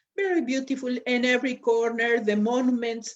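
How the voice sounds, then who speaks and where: In a Spanish accent, a woman speaks at a high pitch. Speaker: lecturer. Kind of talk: lecture. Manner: halting, with fillers.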